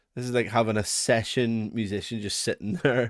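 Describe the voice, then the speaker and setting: With a Northern Irish accent, a man of fairly low pitch talks at a moderate pace with fairly even intonation, on a very clean recording with a silent background. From Northern Ireland. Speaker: music production reviewer. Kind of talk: product review walkthrough. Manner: casual, chatty with fillers.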